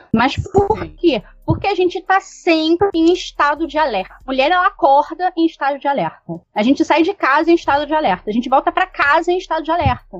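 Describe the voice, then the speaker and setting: Barely pausing, a woman talks fairly quickly at an extremely high pitch with lively intonation. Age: 30s. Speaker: guest panelist. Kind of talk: casual discussion.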